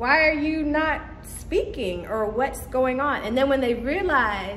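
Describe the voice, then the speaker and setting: A woman with a high pitch speaks fairly slowly, her pitch swinging very widely, amid noticeable background noise and audible room echo. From Caribbean. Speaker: vlogger. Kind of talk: casual vlog talk.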